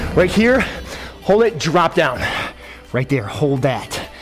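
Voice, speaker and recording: A man speaks at a fairly slow pace with a high pitch. Faint music plays in the background. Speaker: fitness instructor. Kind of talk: workout coaching cues. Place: gym.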